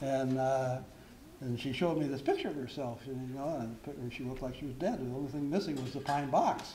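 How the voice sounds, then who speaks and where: A man at medium pitch talks at a fairly quick pace with fairly even intonation, over noticeable background noise and audible room echo. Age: 70s. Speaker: member of the public giving testimony. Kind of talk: public testimony at a town hall meeting. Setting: town hall meeting. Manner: hesitant, with frequent fillers.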